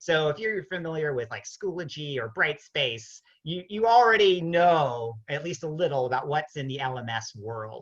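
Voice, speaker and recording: The speech moves at a moderate pace. It has hardly any pauses. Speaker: webinar presenter and ed-tech trainer. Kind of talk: online webinar tutorial. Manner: loud.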